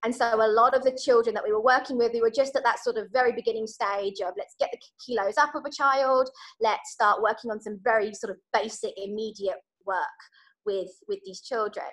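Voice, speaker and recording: In a British accent, a woman with a fairly high pitch and ordinary pitch variation speaks at a fairly quick pace against a quiet background. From UK. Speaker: charity worker; guest. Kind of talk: guest talk. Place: home room. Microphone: video call.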